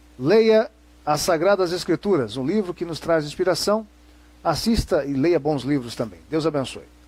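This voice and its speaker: A man talks at a moderate pace while his pitch swings very widely. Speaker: religious presenter and lecturer. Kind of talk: lecture.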